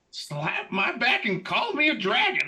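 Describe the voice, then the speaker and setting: A man's put-on character voice, extremely high-pitched, at a moderate pace. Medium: actual play. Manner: hearty, folksy.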